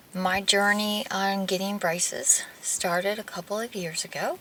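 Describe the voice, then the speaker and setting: A woman's normal speaking voice at medium pitch and moderate pace. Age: 40s. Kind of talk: casual talk to camera.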